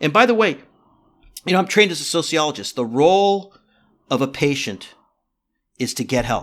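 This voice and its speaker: In a very clean recording with a silent background, a man speaks at a fairly quick pace in a fairly high pitch. His pitch swings very widely, and he takes long, frequent pauses. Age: 50s. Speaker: psychotherapist and sociologist. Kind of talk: interview.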